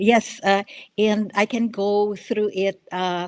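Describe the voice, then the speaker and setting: A woman with a Filipino accent and monotone, flat intonation, in a dry, close sound with no echo, on a very clean recording with a silent background. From Philippines. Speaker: congressional candidate. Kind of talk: radio interview. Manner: halting, many fillers.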